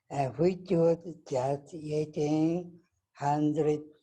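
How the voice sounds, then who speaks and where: Very slowly, a man with a Japanese accent talks in a dark, mellow, somewhat breathy tone. His pitch is fairly high. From Japan, Nagasaki. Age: 80s+. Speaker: atomic bomb survivor. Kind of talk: testimony.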